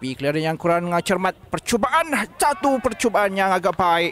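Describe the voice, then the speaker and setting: High-pitched for a man, this speaker moves at a fairly slow pace, and the sound is dry and close with no echo. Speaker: football commentator.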